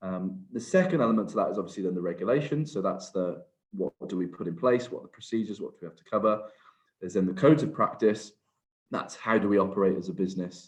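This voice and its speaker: A man's very deep, low voice in a Welsh accent at a very fast pace. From Wales. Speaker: HR and workplace safety advisor. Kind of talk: webinar presentation. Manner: hesitant, many fillers.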